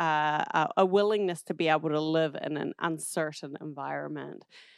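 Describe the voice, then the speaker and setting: A woman speaks at a fairly low pitch and a moderate pace, with ordinary pitch variation. The recording is very clean with a silent background, and the sound is dry and close with no echo. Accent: New Zealand. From New Zealand, southern South Island. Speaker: social entrepreneur, nonprofit founder. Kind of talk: casual interview.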